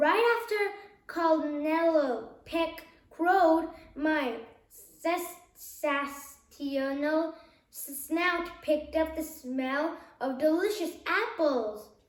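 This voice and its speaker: A woman's whiny, put-on character voice at an extremely high pitch, very slow pace, with a slight echo. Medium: read story.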